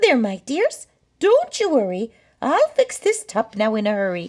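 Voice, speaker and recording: A high, female-sounding put-on character voice, moderately paced. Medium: read story.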